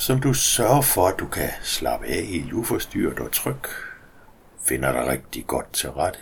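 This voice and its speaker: Noticeable background noise sits behind a man's voice. He speaks at a fairly slow pace in a gentle tone. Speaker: hypnosis guide. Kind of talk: guided meditation. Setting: recorded audio for headphones. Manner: slow, soothing, calm; gentle, hypnotic, with long pauses.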